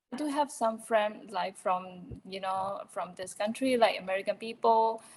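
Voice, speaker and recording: A woman speaks with a non-native accent at a fairly high pitch. Her loudness swings widely. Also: ordinary pitch variation, moderate pace. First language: not English. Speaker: meeting participant. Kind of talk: question in online meeting. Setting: video call. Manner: halting, many fillers.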